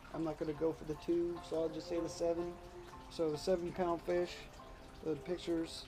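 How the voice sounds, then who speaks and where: Over music in the background, a man speaks in a high pitch with monotone, flat intonation. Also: moderate pace. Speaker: urban bass angler. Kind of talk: casual talk to camera.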